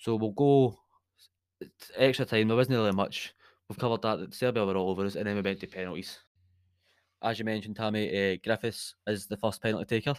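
A man with a Scottish accent and a fairly low pitch speaks at a fairly quick pace broken by long, frequent pauses, in a very clean recording with a silent background. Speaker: podcast host, football fan. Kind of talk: casual chat, football podcast banter. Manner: animated, jokey.

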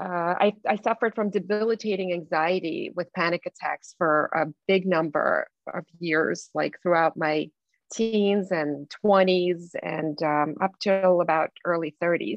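A woman talks at a fairly slow pace in a fairly low pitch. Her intonation stays fairly even. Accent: Russian. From Belarus. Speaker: life coach. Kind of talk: interview.

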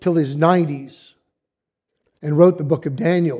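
A man's high-pitched voice with a dark, mellow tone, fairly even intonation and a fairly slow pace. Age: 70s. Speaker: lay preacher. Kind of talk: sermon. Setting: church.

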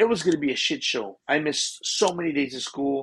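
A man with an ordinary speaking voice and fairly high pitch talks at a moderate pace. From Texas, Seguin. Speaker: professional drummer. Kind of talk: casual interview. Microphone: connection freezes.

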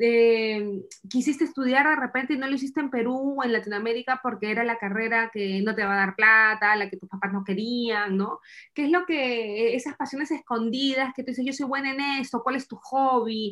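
Speaking in a Peruvian accent, a woman with a fairly high pitch talks at a moderate pace with ordinary pitch variation. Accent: Peruvian Spanish (Lima). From Peru, Lima. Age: 30s. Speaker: immigrant mother. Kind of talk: interview.

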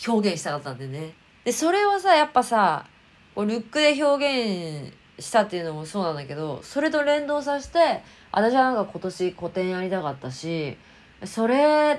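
A woman talks at a moderate pace with very wide pitch swings, on a very clean recording with a silent background. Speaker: fashion designer and YouTuber. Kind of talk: casual vlog monologue. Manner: loud; animated.

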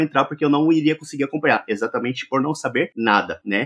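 A man with a plain, everyday voice at a fairly high pitch, fairly quick pace and ordinary pitch variation. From Brazil, interior of Minas Gerais. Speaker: tech YouTuber living in Japan. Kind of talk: casual chat.

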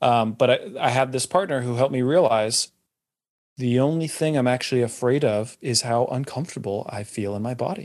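A man's medium-pitched voice with an American accent, fairly quick in pace, with ordinary pitch variation, on a very clean recording with a silent background. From California. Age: 30s. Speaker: leadership and transformation coach. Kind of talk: casual chat.

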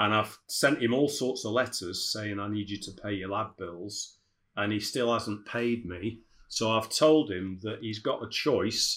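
Speaking fairly slowly with a British accent, a man uses a fairly low pitch and ordinary pitch variation. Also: very clean recording, silent background. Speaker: dental business consultant. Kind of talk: casual interview chat.

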